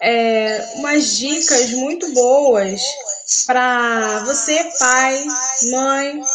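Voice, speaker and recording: Echo from the room can clearly be heard. Through it, a woman talks. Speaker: live stream host, inclusion educator. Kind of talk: live stream interview. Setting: live stream. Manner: slow.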